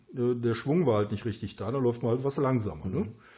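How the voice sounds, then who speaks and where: Somewhat breathy and dark, mellow in tone, a man's voice shows ordinary pitch variation. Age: 50s. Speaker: runner and self-published author. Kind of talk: casual interview. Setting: at his home after a run.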